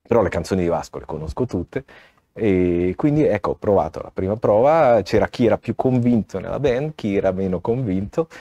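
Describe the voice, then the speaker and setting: Over a quiet background, a man speaks at medium pitch in a dark, mellow tone with lively intonation, the sound dry and close with no echo. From Ticino, Switzerland (Locarno). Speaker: mayor. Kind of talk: casual interview.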